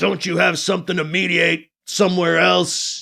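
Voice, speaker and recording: A man puts on a character voice that is high-pitched and raspy. He talks at a moderate pace. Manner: menacing.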